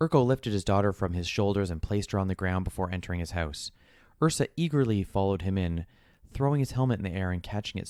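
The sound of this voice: Just an unforced reading voice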